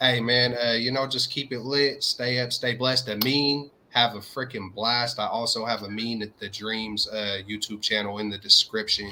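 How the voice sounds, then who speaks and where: With a slight Southern US accent, a man speaks at a medium pitch and moderate pace with fairly even intonation and hardly any pauses, over noticeable background noise. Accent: slight Southern twang. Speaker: sports YouTube co-host. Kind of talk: casual chat.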